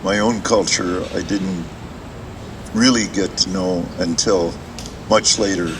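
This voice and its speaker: A man with a Canadian accent and a very deep, low pitch, very slow pace, long frequent pauses, and noticeable background noise. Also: fairly even intonation. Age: 80s+. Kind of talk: public talk. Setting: outdoors in a playground, audience circle. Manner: halting, many fillers.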